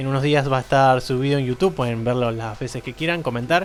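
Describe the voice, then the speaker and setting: A man's fairly high-pitched voice at a fairly quick pace, with music in the background. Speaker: podcast host. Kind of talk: casual chat.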